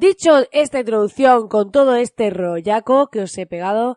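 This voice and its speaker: A woman's high, dark, mellow voice with lively intonation at a moderate pace, dry and close with no echo, against a quiet background. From Almería, southern Spain. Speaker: podcast host, online business coach. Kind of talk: casual solo podcast monologue. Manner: energetic, enthusiastic.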